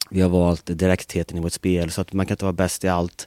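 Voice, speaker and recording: On a very clean recording with a silent background and a dry, close sound with no echo, a man speaks in a very deep, low, dark, mellow voice with monotone, flat intonation. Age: 40s. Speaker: football coach. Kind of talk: interview.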